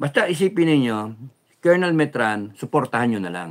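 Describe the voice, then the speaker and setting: A man at a fairly slow pace with very wide pitch swings, over a quiet background. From Philippines. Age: old. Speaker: vlogger. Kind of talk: livestream monologue. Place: home room. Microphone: phone near.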